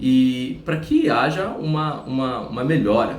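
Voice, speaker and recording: A man speaks with ordinary pitch variation through audible room echo and noticeable background noise. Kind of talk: religious teaching monologue.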